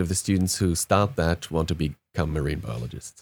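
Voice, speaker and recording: With a German accent, a man talks at a moderate pace and ordinary pitch variation. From Germany. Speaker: podcast panel member, gamer. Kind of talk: casual chat.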